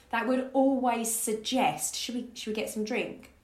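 A woman talks at a moderate pace with ordinary pitch variation. Noticeable background noise runs under her voice. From Essex, England (Grays). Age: 30s. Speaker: life coach. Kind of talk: casual interview chat.

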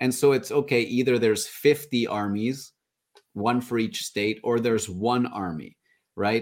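A man's plain, everyday voice at a medium pitch, with fairly even intonation, on a very clean recording with a silent background. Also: fairly slow pace. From Canada. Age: 30s. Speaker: podcaster. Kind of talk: casual chat.

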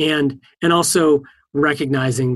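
His pitch moves in an ordinary way. The man talks with an American accent. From US East Coast. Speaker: software engineering manager. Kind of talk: interview. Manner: hesitant with frequent fillers.

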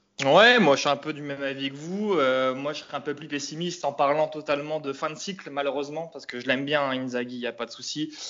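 A man's fairly high voice, very fast with hardly any pauses, ordinary pitch variation and big swings in loudness. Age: 30s. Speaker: football fan. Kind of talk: casual chat.

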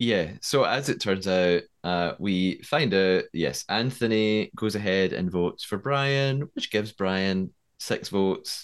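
Against a quiet background, a man with a normal speaking voice talks at a fairly slow pace, with fairly low pitch and ordinary pitch variation. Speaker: podcast host, TV development writer. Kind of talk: casual episode recap and discussion.

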